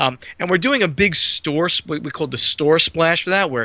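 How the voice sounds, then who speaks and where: This man has a slight New Jersey accent and a bright, sharp tone. He talks at a moderate pace with ordinary pitch variation. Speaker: board game publisher. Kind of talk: podcast interview.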